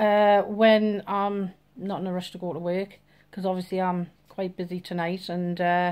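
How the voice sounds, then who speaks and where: A woman with a Geordie accent talks at a fairly slow pace on a very clean recording with a silent background. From northeast England, Newcastle. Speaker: vlogger. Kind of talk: casual vlog introduction.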